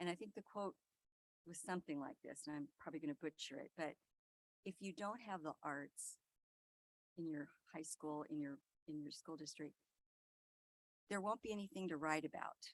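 Soft-spoken and fairly low in pitch, a woman talks at a moderate pace with ordinary pitch variation, long, frequent pauses and a dry, close sound with no echo. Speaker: school board member. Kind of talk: board meeting report. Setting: public board meeting.

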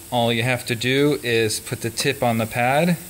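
A man with fairly even intonation over light background noise. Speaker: electronics maker demonstrating a tool. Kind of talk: tutorial. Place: workshop.

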